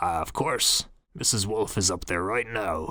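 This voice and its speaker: A man's raspy, put-on character voice at a fairly low pitch, with ordinary pitch variation and a moderate pace. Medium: read story. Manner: merry, chatty.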